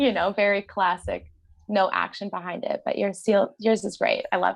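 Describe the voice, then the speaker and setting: A woman at a moderate pace with a Canadian prairie accent. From rural Saskatchewan, Canada. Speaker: community activist. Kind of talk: casual interview.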